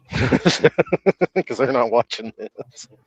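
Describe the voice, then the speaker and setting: A man with an American accent, the sound dry and close without echo. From US South. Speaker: stream guest. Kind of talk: casual chat.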